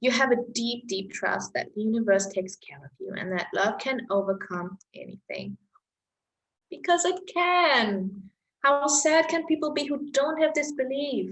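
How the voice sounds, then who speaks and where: A woman with a German accent, high in pitch, with very wide pitch swings at a fairly slow pace. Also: big swings in loudness. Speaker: astrology-style chart reader. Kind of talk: reading a personal chart to camera.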